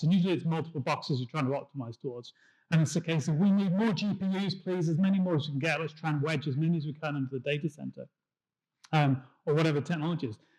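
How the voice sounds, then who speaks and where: In a very clean recording with a silent background, a man with a British accent talks at a very fast pace, his fairly high voice showing ordinary pitch variation. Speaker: tech industry engineer. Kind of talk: conference talk. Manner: hesitant with fillers.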